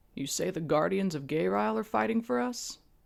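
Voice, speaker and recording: A man puts on a character voice at a fairly high pitch, swinging very widely in pitch at a moderate pace. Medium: read story. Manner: watchful, fatherly.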